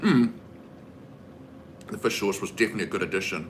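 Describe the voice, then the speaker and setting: Here is a man with a New Zealand accent and a bright, sharp tone. He talks at a fairly quick pace. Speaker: streamer. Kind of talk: casual chat. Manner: animated.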